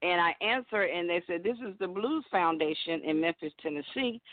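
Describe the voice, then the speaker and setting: Her pitch medium with ordinary variation, a woman talks in a Southern US accent. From Alabama, US South (Birmingham). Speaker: blues singer. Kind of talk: casual phone interview. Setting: phone call.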